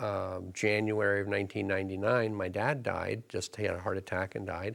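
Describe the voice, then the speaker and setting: An unremarkable speaking voice with an American accent, fairly quick and fairly even in intonation, in a very clean recording with a silent background. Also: man, fairly low pitch for a man. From US Northeast, southern Connecticut. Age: 60s. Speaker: elder law attorney. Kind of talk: interview.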